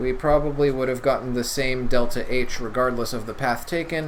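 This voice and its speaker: Against noticeable background noise and audible room echo, a man speaks at a moderate pace with fairly even intonation. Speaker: chemistry tutor. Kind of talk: lecture.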